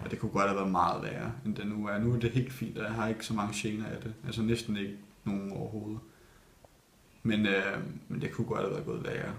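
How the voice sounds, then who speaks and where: A man with a fairly low voice talks at a very fast pace, his intonation fairly even. Noticeable background noise runs under the clip. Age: 20s. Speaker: ballet dancer. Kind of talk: interview. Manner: hesitant, many fillers.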